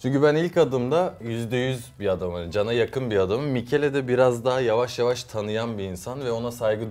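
This man talks at a fairly quick pace. His pitch moves in an ordinary way. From US and Izmir, Turkey; United States. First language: English and Turkish (speaking Turkish). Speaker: youtuber and musician; youtuber. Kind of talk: casual chat. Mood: relaxed, friendly. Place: studio.

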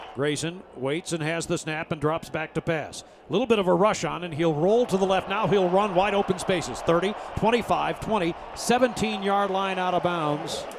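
A man with a high voice and ordinary pitch variation keeps a moderate pace while noticeable background noise carries on behind him. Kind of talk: live play-by-play football commentary over game highlights. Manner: even, steady and matter-of-fact, rising briefly at touchdowns.

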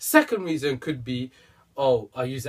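A man's voice at a moderate pace, with very wide pitch swings. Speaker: fitness vlogger. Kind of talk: casual vlog advice. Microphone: camera far.

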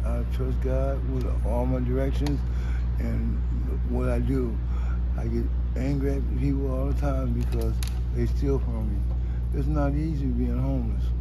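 A man at a fairly slow pace with long, frequent pauses, over noticeable background noise. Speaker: homeless man. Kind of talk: interview answer. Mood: weary, emotional, earnest. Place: street. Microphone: phone near.

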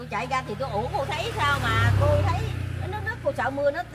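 A high-pitched woman at a moderate pace over light background noise. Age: 50s. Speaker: local resident affected by subsidence. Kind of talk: casual interview. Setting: outdoors on location. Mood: worried, recounting frightening event. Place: street. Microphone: phone near.

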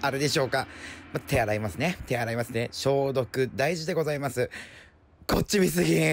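At a moderate pace, a man speaks at a medium pitch with vocal fry. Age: 30s. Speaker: apparel store staff. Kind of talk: comedic voice-over commentary. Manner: playful, jokey.

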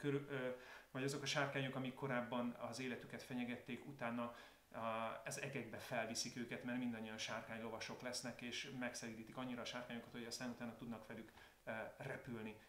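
The speaker goes at a very fast pace in a flat monotone, with audible room echo and light background noise. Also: man. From Hungary. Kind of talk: casual video talk to viewers. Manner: calmer, more reflective tone. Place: home room.

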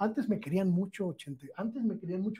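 A man with a high pitch and a dark, mellow tone talks with lively intonation. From Mexico. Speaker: journalist. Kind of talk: interview. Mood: animated, emphatic storytelling. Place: studio. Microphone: lapel.

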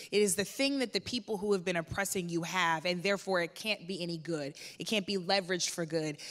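Against a quiet background, a woman with a fairly low pitch and ordinary pitch variation talks at a very fast pace with hardly any pauses. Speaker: activist; panelist. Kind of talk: panel discussion. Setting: stage with audience. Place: stage. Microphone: handheld.

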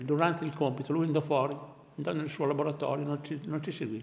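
A man is speaking. His pace is very fast. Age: 80s+. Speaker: war veteran, former student. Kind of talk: interview testimony. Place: home room.

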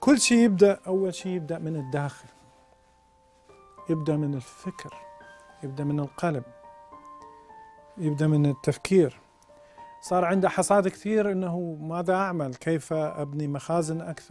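A man's fairly high voice in an Iraqi accent, fairly slow with long, frequent pauses, faint music in the background, and a dry sound with no echo. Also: ordinary pitch variation. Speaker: priest. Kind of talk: religious teaching talk. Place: studio. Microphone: lapel.

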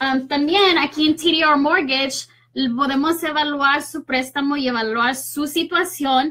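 With a bright, sharp tone and a high pitch, a woman speaks at a fairly slow pace using fairly even intonation.

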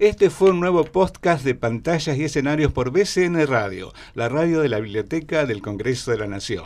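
A man with a Rioplatense accent, with very wide pitch swings and hardly any pauses. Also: moderate pace. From Argentina. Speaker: radio host. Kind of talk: interview; interview questions. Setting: studio. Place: studio. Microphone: studio mic.

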